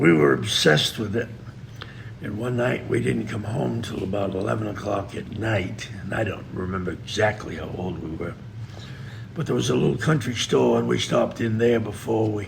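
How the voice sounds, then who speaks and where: A man's fairly low voice with lively intonation at a moderate pace, long and frequent pauses, noticeable background noise and audible room echo. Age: 70s. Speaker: veteran trapper. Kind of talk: podcast interview.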